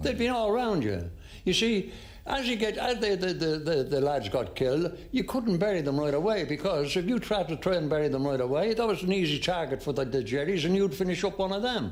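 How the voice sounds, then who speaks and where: With an Irish accent, a man speaks at a fairly quick pace in a high pitch, his pitch swinging very widely while his loudness stays very even. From Ireland. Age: 90s. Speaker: war veteran. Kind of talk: interview answer.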